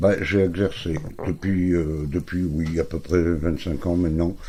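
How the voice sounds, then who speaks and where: A man speaks in a very deep, low voice. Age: 60s. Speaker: therapist. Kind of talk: self-introduction video. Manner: halting, many fillers.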